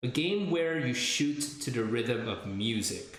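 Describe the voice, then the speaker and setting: A fairly high-pitched man talks amid noticeable background noise, his voice carrying audible room echo. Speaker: video game streamer. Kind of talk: casual chat. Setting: live stream. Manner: loud.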